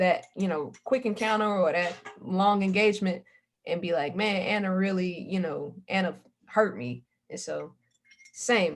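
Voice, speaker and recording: A woman talks at medium pitch and a moderate pace in an ordinary speaking voice. Her pitch varies in an ordinary way. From US South. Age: 30s. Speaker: oral history interviewee. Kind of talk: oral history interview.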